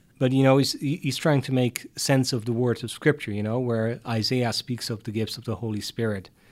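A man with a Dutch accent at a fairly quick pace with hardly any pauses, medium pitch and fairly even intonation, in a very clean recording with a silent background. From Netherlands, Hardenberg near German border. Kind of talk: interview.

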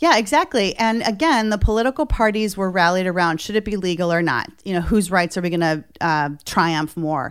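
A woman speaks at a medium pitch, in an unremarkable speaking voice, with lively intonation. She keeps a fairly quick pace with hardly any pauses. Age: 50s. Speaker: nonprofit founder and president. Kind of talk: interview. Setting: studio.

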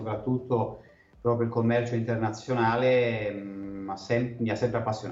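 Audible room echo surrounds a man speaking at a medium pitch. He goes at a fairly slow pace with monotone, flat intonation. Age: 40s. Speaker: wine sales and marketing consultant. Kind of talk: interview.

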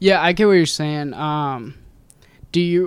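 In a normal speaking voice, an American-accented man speaks at a fairly slow pace with fairly even intonation on a very clean recording with a silent background. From Ohio, US (Loveland, near Cincinnati). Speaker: podcast host. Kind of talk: casual chat.

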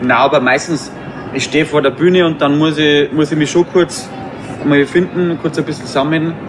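A man with a Bavarian accent and a fairly high pitch, with noticeable background noise. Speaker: cabaret artist. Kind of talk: casual interview. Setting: outdoor courtyard.

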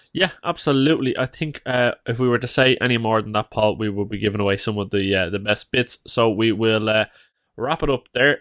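A man with an Irish accent at a fairly quick pace, dry and close with no echo, over a quiet background. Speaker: podcast co-host. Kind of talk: casual chat.

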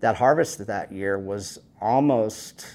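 Very slow speech in a West Texas accent with ordinary pitch variation. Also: man. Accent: West Texas drawl. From West Texas, Panhandle. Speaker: rancher and food activist. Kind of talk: interview.

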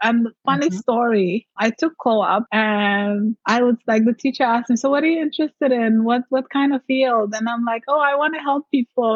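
Speaking at a moderate pace in a non-native accent, a woman uses a fairly high pitch with ordinary variation, recorded dry and close with no echo. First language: not English. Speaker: mindset coach and entrepreneur. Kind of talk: casual interview.

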